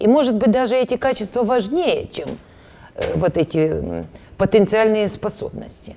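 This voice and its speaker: A woman speaks at a moderate pace in a fairly high pitch, her dark, mellow tone carried by lively intonation. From Ukraine, Dnipropetrovsk. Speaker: painter. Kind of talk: TV interview. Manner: halting, many fillers.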